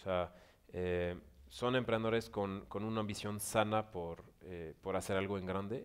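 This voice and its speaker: A very clean recording against a silent background, with speech at a fairly slow pace. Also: man. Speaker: director of an entrepreneurship organization. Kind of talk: panel interview at business forum.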